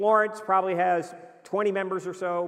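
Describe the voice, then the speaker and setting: A man talks loudly. His pace is moderate. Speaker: missionary preacher. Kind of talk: mission report presentation.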